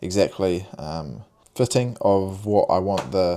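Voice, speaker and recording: A man with a New Zealand accent, a very deep, low pitch and a dark, mellow tone, on a very clean recording with a silent background. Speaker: vlogger and clothing brand owner. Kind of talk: casual vlog talk to camera. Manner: hesitant, many fillers and repeats.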